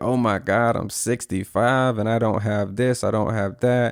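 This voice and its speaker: A man with a plain, everyday voice speaks at a fairly low pitch with fairly even intonation, in a dry, close sound with no echo on a very clean recording with a silent background. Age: 30s. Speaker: podcast host. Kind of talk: reflective podcast monologue. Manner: casual, earnest.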